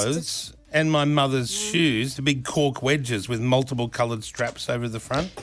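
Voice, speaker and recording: A man at medium pitch with ordinary pitch variation, hardly any pauses, and noticeable background noise. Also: moderate pace. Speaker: radio show co-host. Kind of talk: casual radio banter.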